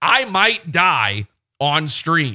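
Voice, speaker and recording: Very wide pitch swings and a bright, sharp tone come through on a very clean recording with a silent background. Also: man. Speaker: podcast host. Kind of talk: casual chat. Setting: live stream.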